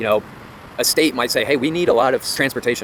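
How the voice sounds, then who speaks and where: Noticeable background noise accompanies a man who talks very fast with ordinary pitch variation. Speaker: real estate commentator. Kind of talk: casual talk to camera.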